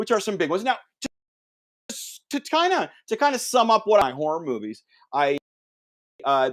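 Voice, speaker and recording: A high-pitched man speaks at a moderate pace with very wide pitch swings and long, frequent pauses. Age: 50s. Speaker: podcast host. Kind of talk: casual chat. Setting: live stream. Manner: halting.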